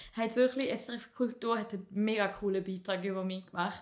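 Fast-ish and flat, a woman speaks in a monotone at a fairly high pitch and a fairly quick pace. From Appenzell Ausserrhoden, eastern Switzerland. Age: 20s. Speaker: comedian. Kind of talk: casual chat.

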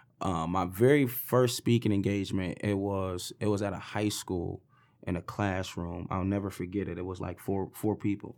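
A man with a fairly low voice speaks at a moderate pace and fairly even intonation, recorded very cleanly against a silent background. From US Midwest, east side Detroit. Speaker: motivational speaker and fitness educator. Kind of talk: interview, personal story.

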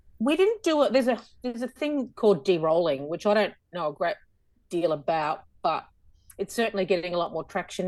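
A woman's medium-pitched voice with an Australian accent, lively intonation and a quiet background. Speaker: podcast guest, musical theatre actor.

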